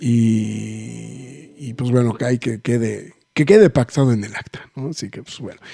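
Over music in the background, a man talks at a fairly slow pace with hardly any pauses and big swings in loudness. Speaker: podcast host. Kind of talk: casual chat.

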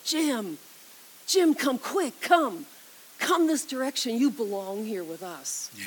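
A put-on character voice at a fairly high pitch hisses its way along at a fairly slow pace with long, frequent pauses. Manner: beckoning, coaxing.

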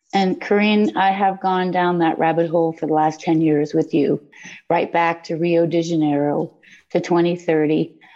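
In a plain, everyday voice, a woman of fairly low pitch speaks at a moderate pace with fairly even intonation and very even loudness. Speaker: occupational health and safety worker. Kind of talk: question from audience. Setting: video call.

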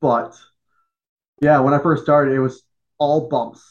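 The speaker has a Chicago accent. The pace is fairly quick. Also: man. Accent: Chicago-area American. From Joliet, Illinois, US Midwest. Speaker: pro wrestling general manager and former referee, army veteran. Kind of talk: podcast interview.

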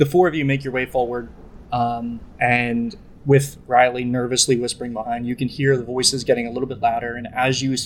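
In a natural reading voice, the speaker keeps the intonation fairly even.

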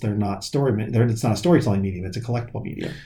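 A man speaks with a dark, mellow tone that comes across somewhat breathy. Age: 40s. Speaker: comic shop owner. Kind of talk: casual chat.

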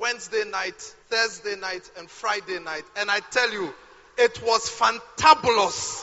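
A man speaks at a fairly slow pace with a high pitch and ordinary pitch variation. Noticeable background noise runs under the recording. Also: big swings in loudness. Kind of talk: sermon. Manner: animated.

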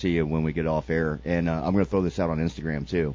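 Here a man speaks at a very fast pace. His voice is very deep and low. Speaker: radio host. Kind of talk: casual radio interview. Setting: phone call.

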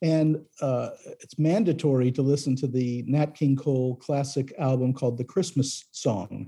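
This man speaks at a moderate pace in a fairly high voice with a dark, mellow tone and a somewhat breathy quality. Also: ordinary pitch variation. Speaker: record producer. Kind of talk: interview. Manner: halting, filler-heavy.

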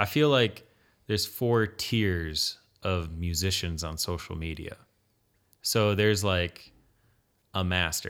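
On a very clean recording with a silent background, a man with a very deep, low pitch and an American accent speaks at a very slow pace, with long, frequent pauses. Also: ordinary pitch variation. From Michigan, Allegan County. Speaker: guitarist and web developer. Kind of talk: casual chat.

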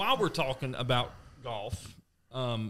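Speaking with a Southern US accent, a man uses a medium pitch, ordinary pitch variation and a moderate pace. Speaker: podcast co-host, golfer. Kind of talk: casual chat. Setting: studio.

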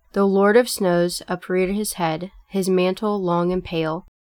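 A woman speaks at a medium pitch in a flat, monotone delivery. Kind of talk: poem performed, read aloud. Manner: measured, lyrical, reverent.

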